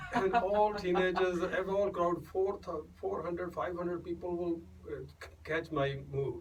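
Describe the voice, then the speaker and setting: Noticeable background noise sits behind a man speaking at a fairly slow pace. His pitch is high, and his intonation fairly even. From India, Punjab. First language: Punjabi. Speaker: singer-songwriter and doctor. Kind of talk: radio interview. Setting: radio studio. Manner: halting, many fillers and restarts.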